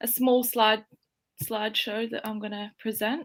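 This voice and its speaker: In an Australian accent, a woman speaks at a fairly high pitch on a very clean recording with a silent background. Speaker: strength and conditioning coach. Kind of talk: presentation.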